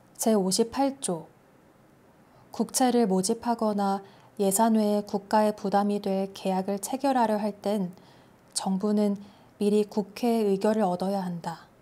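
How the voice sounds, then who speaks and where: A woman's soft-spoken, gentle, calm voice at a medium pitch with a dark, mellow tone, fairly even intonation, and a fairly slow pace full of long, frequent pauses. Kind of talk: ASMR sleep-aid reading of a national constitution. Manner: soft, gentle, calm.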